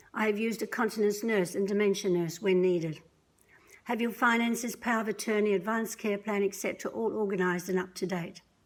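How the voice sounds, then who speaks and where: Speaking very fast, a woman keeps her intonation fairly even. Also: medium pitch for a woman, very even loudness. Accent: Australian. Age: 60s. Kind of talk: prepared testimony read aloud. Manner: measured, scripted delivery.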